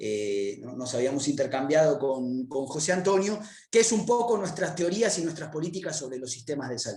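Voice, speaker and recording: This man has a fairly high pitch and very wide pitch swings. Audible room echo surrounds his voice. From Argentina, Buenos Aires. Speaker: public health researcher, lecturer. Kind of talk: academic lecture. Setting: virtual conference. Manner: fast; hesitant, many fillers.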